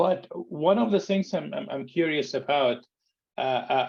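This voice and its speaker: A man speaks with an Arabic accent at a moderate pace. His intonation is lively. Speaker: entrepreneur and conflict mediator. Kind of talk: group video call Q&A. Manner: halting, many repeated words.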